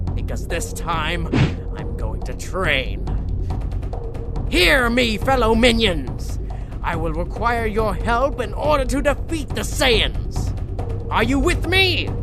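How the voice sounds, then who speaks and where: A cartoonish character voice speaks at a fairly slow pace over loud music in the background. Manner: menacing, gloating.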